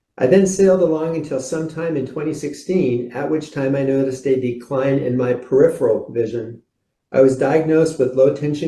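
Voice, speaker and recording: Somewhat breathy, with a dark, mellow tone, a man speaks at a moderate pace with fairly even intonation. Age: 60s. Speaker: patient speaker and company executive. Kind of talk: prepared public testimony. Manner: formal.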